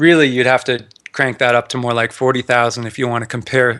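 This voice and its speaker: A man with a Canadian accent speaks at a very fast pace. His tone is bright and sharp. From Canada. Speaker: personal finance blogger, retired engineer. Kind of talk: podcast interview.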